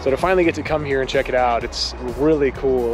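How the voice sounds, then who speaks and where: Against clear background music, a man talks at a very fast pace in a dry sound with no echo. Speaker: motorsport photographer vlogger. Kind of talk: casual vlog chat. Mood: excited, upbeat. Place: street. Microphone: phone near.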